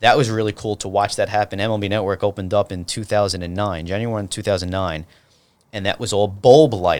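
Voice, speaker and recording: A man with a New York accent, fairly low pitch, fairly even intonation and a very fast pace. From New York City (Brooklyn, Staten Island). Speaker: TV producer and director. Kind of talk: casual chat.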